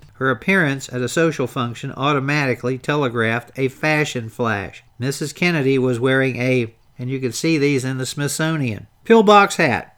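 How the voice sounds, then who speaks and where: Delivered at a moderate pace with ordinary pitch variation, a plain, everyday voice speaks with an American accent. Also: man, medium pitch for a man. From Baltimore, Maryland. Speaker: history podcast host. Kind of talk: 1960s documentary narration, read aloud from a script. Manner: measured, formal, rhythmic, polished delivery.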